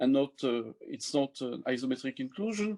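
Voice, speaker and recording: In a French accent, a man talks at a moderate pace. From France. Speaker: mathematician; mathematics lecturer. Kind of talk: lecture. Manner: halting. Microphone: webcam.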